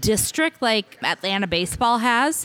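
In a Midwestern American accent, a woman's fairly high voice has a bright, sharp tone and a dry, close sound with no echo. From Kansas, Hutchinson. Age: 40s. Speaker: podcast guest. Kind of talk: casual chat.

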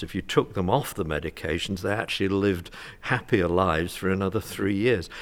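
Over a silent background in a very clean recording, a man with a British accent speaks at a very deep, low pitch. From UK. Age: 60s. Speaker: retired family doctor. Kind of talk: panel discussion. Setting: conference.

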